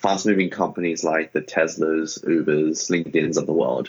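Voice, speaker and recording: Ordinary pitch variation runs through this man's speech in an Australian accent. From Sydney, Australia. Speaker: startup founder. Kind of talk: interview.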